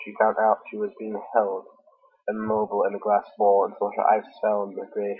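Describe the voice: Simply plain reading aloud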